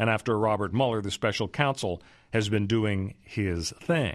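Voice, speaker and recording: The recording is very clean with a silent background. In it, a man talks at a moderate pace. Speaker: radio host and legal analyst. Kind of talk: radio talk show with political and legal commentary. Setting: radio studio. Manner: conversational, chatty, with frequent fillers and restarts.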